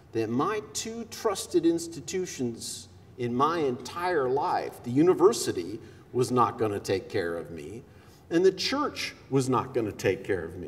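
Talking at a fairly slow pace, a man shows big swings in loudness. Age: 50s. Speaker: consulting psychologist, conference speaker. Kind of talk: keynote speech. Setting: stage with audience. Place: hall. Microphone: headset.

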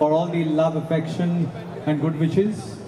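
Over noticeable background noise, a man talks fairly slowly in a high voice. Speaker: guest. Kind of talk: event speech. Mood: grateful, warm. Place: stage. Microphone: handheld.

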